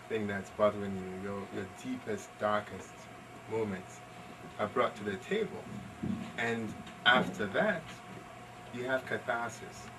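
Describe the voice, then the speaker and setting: A man with a fairly low voice talks in a fairly even intonation, leaving long, frequent pauses over noticeable background noise. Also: fairly slow pace. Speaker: pianist. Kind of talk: talk at a library event.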